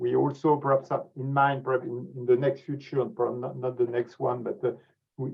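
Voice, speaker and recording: Against music in the background, a man with a French accent speaks at a medium pitch. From France. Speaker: scientific society president. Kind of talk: closing remarks on webinar. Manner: halting, many repetitions and fillers.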